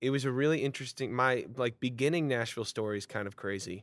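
A man with a normal speaking voice and an American accent, medium in pitch, with ordinary pitch variation. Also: very clean recording, silent background. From Vermont, US. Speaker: singer-songwriter. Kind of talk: casual interview chat.

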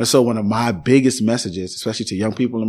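A man with an American accent speaks in a normal speaking voice at medium pitch, with ordinary pitch variation, on a very clean recording with a silent background. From Chicago South Side (Englewood). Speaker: pastor. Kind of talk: interview conversation.

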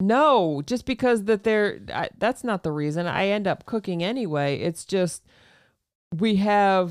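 Lively intonation from a woman at a fairly slow pace, an ordinary speaking voice, dry and close with no echo. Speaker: homesteader. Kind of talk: casual chat. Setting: studio.

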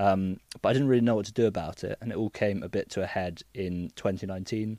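A man with a southern English accent speaks at a fairly quick pace in a fairly low pitch, with a dark, mellow tone. His intonation stays fairly even, and the recording is very clean with a silent background. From southern England, Cotswolds. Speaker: digital detox business founder. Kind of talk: casual interview chat. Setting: studio.

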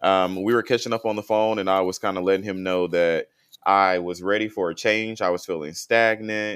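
With an American accent, a man talks at a fairly quick pace in a plain, everyday voice, a fairly low pitch and fairly even intonation, in a very clean recording with a silent background. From North Florida (Tallahassee). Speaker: hairdresser and makeup artist. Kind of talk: podcast interview.

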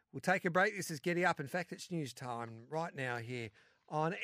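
Over a silent background on a very clean recording, a man with an Australian accent speaks at a moderate pace and fairly high pitch, the sound dry and close with no echo. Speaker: racing radio host. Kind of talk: casual chat.

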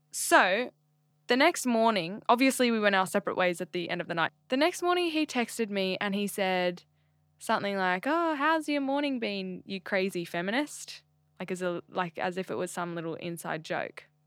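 Recorded very cleanly against a silent background, a woman with an Australian accent speaks at a medium pitch with very wide pitch swings. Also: moderate pace. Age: 20s. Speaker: podcast host. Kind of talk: casual chat.

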